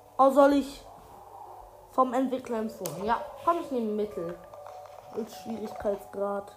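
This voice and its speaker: Noticeable background noise sits behind a woman with a fairly high pitch and lively intonation. She talks at a fairly slow pace, with long, frequent pauses. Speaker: gaming podcaster. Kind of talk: let's play commentary. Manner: halting.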